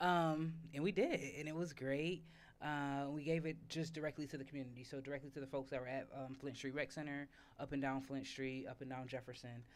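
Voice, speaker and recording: A woman speaks in a very deep, low pitch. Her intonation is fairly even and her pace fairly quick. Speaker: community garden organizer. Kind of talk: panel talk at livestreamed event. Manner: loud.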